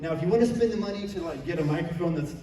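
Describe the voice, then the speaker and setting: A man talks loudly at a very fast pace with a high pitch and ordinary pitch variation. There is noticeable background noise and audible room echo. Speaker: convention panelist. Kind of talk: convention panel talk.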